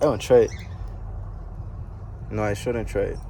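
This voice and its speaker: There is a man talking with an American accent. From US Virgin Islands, Saint Croix. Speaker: futures trader, vlogger. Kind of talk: casual vlog. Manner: casual, filled with ums.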